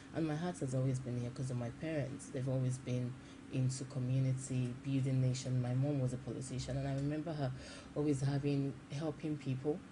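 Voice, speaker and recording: In a Nigerian accent, the voice is somewhat breathy with a dark, mellow tone and flat, monotone intonation, heard with audible room echo. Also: woman, very deep, low pitch for a woman. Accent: Nigerian accent now. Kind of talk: TV interview. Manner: halting, frequent repetitions.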